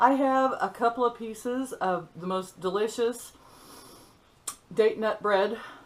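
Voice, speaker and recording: Pitch varies in an ordinary way as the woman speaks. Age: 60s. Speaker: vlogger. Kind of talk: casual vlog monologue. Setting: at home, sitting on a stool. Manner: chatty, halting with fillers.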